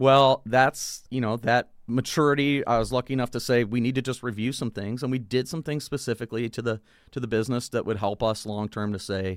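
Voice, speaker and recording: On a very clean recording with a silent background, a man speaks at a fairly quick pace in an unremarkable speaking voice. His pitch is medium with ordinary variation, and the sound is dry and close with no echo. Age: 40s. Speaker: brewery owner. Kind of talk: casual chat.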